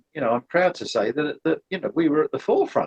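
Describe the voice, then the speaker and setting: The sound is dry and close with no echo. A man speaks in a high-pitched voice with very wide pitch swings. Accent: British. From Britain. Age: 70s. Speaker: former synth company employee, aircraft engineer. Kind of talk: interview conversation. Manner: halting, many repeated words.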